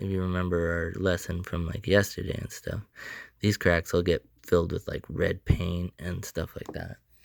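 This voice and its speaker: A man speaks with a very deep, low pitch and big swings in loudness. The sound is dry and close, with no echo. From Canada. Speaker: sculptor. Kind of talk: tutorial. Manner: casual.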